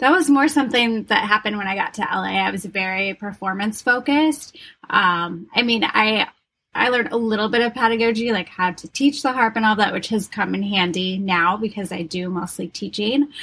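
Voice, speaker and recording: A woman talks at a fairly quick pace with an unremarkable speaking voice. Her pitch sits fairly high and varies in an ordinary way. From Wisconsin. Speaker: harpist, yoga instructor and doula. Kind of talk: casual interview.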